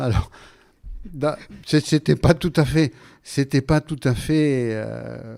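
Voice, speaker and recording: In a dry, close sound with no echo, a man with a southwestern French accent speaks at medium pitch and a very slow pace, with a dark, mellow tone, ordinary pitch variation and long, frequent pauses. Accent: Gascon. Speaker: radio guest, writer and former referee. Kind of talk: radio interview. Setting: radio studio. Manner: hesitant, many fillers.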